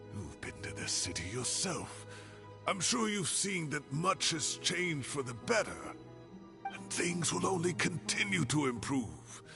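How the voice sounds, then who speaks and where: A man performs a put-on character voice at a fairly slow pace. Music plays clearly in the background. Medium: machinima.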